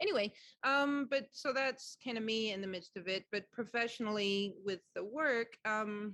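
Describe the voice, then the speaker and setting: Bright and sharp in tone, a woman speaks at a fairly high pitch and a moderate pace with ordinary pitch variation. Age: 60s. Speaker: community arts organization leader. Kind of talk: panel discussion. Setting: video call. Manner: halting.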